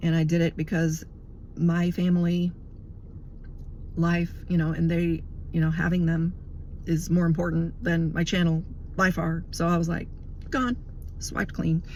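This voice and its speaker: With a fairly low pitch and a somewhat breathy sound, a woman speaks in monotone, flat intonation at very even loudness, leaving long, frequent pauses. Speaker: religious video blogger. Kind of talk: casual monologue. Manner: fast.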